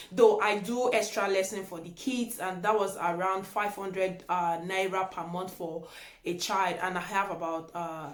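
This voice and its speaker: A woman with a Nigerian accent speaks at medium pitch and a moderate pace with fairly even intonation, against noticeable background noise and audible room echo. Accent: Nigerian (Yoruba) English. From Nigeria (Yoruba). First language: Yoruba. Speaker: YouTuber. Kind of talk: casual vlog chat.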